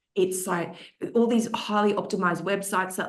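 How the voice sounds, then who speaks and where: A woman speaks at a medium pitch in an Australian accent. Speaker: social media marketing expert, panelist. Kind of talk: webinar panel discussion. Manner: casual, with frequent fillers.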